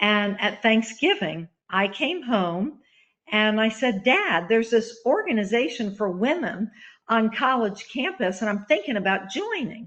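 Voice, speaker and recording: Using an ordinary speaking voice, a woman speaks at a fairly slow pace with a fairly high pitch and lively intonation. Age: 60s. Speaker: author and pro-life activist. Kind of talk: webinar presentation. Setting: online webinar. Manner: casual, with filler words.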